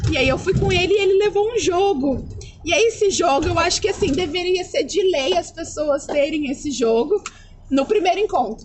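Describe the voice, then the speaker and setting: A woman's extremely high, animated voice at a moderate pace, with lively intonation, very even loudness and noticeable background noise. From Brazil, Taubaté, São Paulo. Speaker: au pair. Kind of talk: casual chat.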